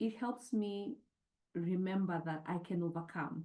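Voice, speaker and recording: A woman speaks with a fairly low pitch and ordinary pitch variation. Her tone is dark and mellow, and somewhat breathy. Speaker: nonprofit co-CEO. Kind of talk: panel discussion.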